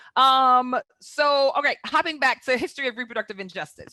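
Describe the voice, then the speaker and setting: Bright, sharp tone from a woman, dry and close with no echo, over a quiet background. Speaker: public health presenter. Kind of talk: webinar presentation. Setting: online webinar. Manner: fast.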